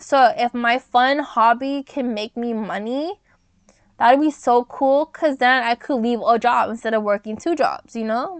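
Recorded dry and close with no echo, a woman with an American accent speaks at a moderate pace in a high pitch. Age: 20s. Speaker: podcast host. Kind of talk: casual solo podcast chat. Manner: animated.

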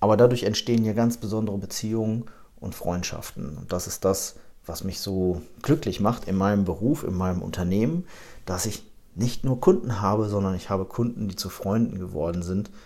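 A man's fairly low, dark, mellow voice at a moderate pace with ordinary pitch variation. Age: 30s. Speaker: insurance agency manager and podcast host. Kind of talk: podcast monologue, promotional.

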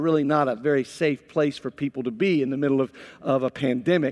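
With an American accent, a man is heard in a dry, close sound with no echo. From United States. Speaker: pastor. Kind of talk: sermon. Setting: church with live audience and online stream.

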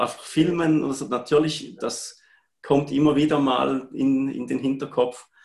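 A man speaks in a plain, everyday voice at a fairly high pitch. His intonation is fairly even and his pace moderate. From Switzerland, Appenzell. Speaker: part-time photographer. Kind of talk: live-streamed interview.

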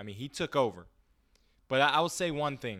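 Ordinary pitch variation marks a man's voice as he speaks at a moderate pace. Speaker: sports podcast co-host. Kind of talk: casual sports talk. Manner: playful, boastful.

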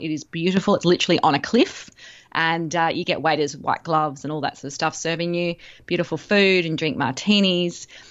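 Fairly quick speech in an Australian accent, with ordinary pitch variation. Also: woman. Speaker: travel guest. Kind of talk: casual interview.

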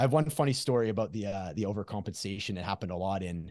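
Against a quiet background, a man with a very deep, low pitch talks at a very fast pace with ordinary pitch variation. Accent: Canadian. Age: 40s. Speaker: recovery coach. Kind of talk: casual interview conversation.

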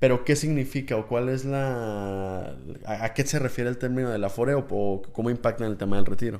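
A moderate pace with ordinary pitch variation. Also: man, medium pitch for a man. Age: 20s. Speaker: listener representative. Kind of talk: casual chat. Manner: halting, repeats words.

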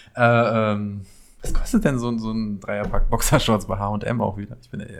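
This man's voice sits at a medium pitch and keeps a fairly even intonation. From Paderborn, East Westphalia. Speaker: podcast guest, friend of host. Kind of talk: casual chat.

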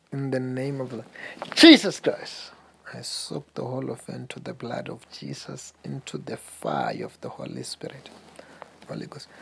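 Background noise is noticeable throughout. The speech moves at a moderate pace. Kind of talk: fervent deliverance prayer over a caller, rebuking demons. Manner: commanding, forceful, loud and intense, praying with authority.

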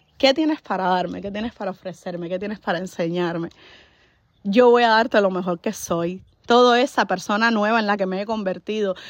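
In an animated tone, a woman speaks at a fairly quick pace with a medium pitch and ordinary pitch variation. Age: 30s. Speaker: podcaster. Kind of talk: motivational monologue. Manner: halting.

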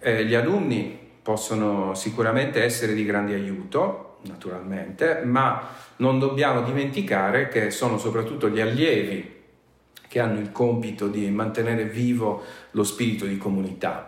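A man's medium-pitched voice with ordinary pitch variation, audible room echo and noticeable background noise. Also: moderate pace. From Sardinia, near Sassari. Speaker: university professor. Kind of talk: interview. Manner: formal.

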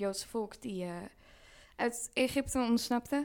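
On a very clean recording with a silent background, a woman with a normal speaking voice talks at a fairly slow pace with ordinary pitch variation. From Vlaardingen, Netherlands. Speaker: podcast co-host. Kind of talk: casual chat. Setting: on holiday in Tuscany.

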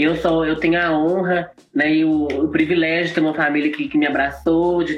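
There is noticeable background noise behind a woman whose voice sits at a very deep, low pitch. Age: 20s. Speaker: drag queen and singer. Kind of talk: live interview.

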